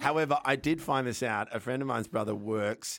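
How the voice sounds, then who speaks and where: Fairly quick speech from a man in an Australian accent. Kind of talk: casual chat.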